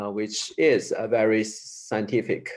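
A man talks at a very slow pace with a Chinese accent. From China, Sichuan province. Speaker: improviser. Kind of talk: interview. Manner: halting.

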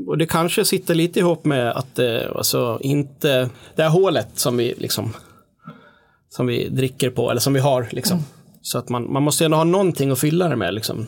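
A man with an ordinary speaking voice talks fairly quickly and fairly high in pitch, varying it in an ordinary way. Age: 40s. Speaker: musician. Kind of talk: casual chat.

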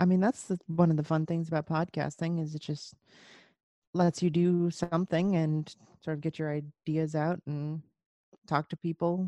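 Against a quiet background, a woman with a fairly low pitch speaks at a moderate pace in a flat monotone. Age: 30s. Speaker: rock musician. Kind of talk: casual chat.

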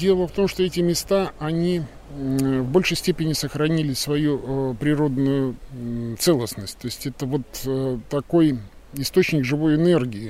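A man speaks at a fairly slow pace. His fairly high voice shows ordinary pitch variation. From Russia, Kaliningrad. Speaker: farmer and forest guide. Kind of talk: guided nature walk interview. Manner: hesitant, many filler sounds.

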